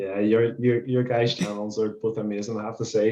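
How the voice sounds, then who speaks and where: With a Northern Irish accent, a man talks at a fairly quick pace, with a medium pitch and fairly even intonation. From Northern Ireland. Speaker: vegan street activist. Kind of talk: casual podcast chat.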